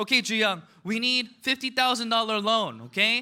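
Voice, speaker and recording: A bright, sharp tone comes through in a raised, projected voice with an animated tone at a moderate pace. The recording is very clean, with a silent background. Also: man. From United States, Korean immigrant family. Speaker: motivational business speaker. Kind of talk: motivational speech.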